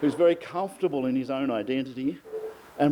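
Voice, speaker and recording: A man's fairly high-pitched voice in an Australian accent, moderate in pace, with ordinary pitch variation. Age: 60s. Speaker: friend giving birthday speech. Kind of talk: birthday speech.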